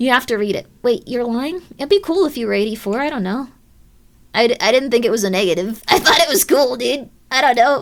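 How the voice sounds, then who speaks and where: At a fairly quick pace, a woman with a high pitch speaks with very wide pitch swings. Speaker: video game streamer. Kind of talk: live game stream chat. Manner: animated.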